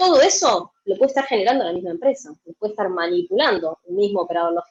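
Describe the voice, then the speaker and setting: With an Argentine accent and an animated tone, a woman talks very fast with hardly any pauses and very wide pitch swings. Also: dry, close sound with no echo. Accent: Argentine Spanish (Rioplatense). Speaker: logistics software consultant. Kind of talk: conference talk.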